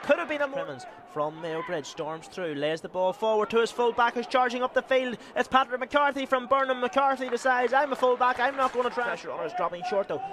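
A man's extremely high, animated voice at a very fast pace, full of very wide pitch swings, over noticeable background noise. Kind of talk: live sports commentary. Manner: fast, rapid-fire play-by-play delivery; animated, excitable, building with the action.

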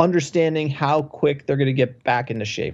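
The speaker has an American accent and a plain, everyday voice. Delivery shows ordinary pitch variation at a moderate pace. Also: man. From US East Coast (New Jersey/New York). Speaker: football podcast host. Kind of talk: casual chat.

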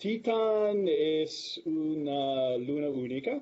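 A man speaks with an English accent. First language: English (speaking Spanish). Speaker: planetary atmospheric scientist; guest. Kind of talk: lecture. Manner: halting. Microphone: video call.

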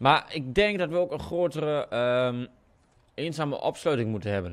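A man with a strong eastern Dutch accent, lively intonation and a moderate pace. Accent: strong rural eastern Dutch. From eastern Netherlands. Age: young. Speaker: gaming YouTuber. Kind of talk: casual gameplay commentary. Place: home room.

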